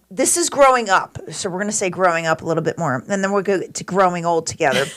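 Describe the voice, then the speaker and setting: Over noticeable background noise, a woman with a medium pitch talks at a very fast pace in an animated tone with lively intonation. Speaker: podcast host. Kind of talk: casual chat. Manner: loud.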